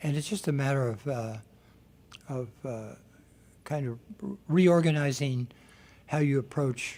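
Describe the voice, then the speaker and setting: At a fairly slow pace with long, frequent pauses, a man speaks in a dark, mellow, somewhat breathy voice of fairly high pitch and ordinary pitch variation. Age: 70s. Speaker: exercise instructor for seniors. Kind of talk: radio interview.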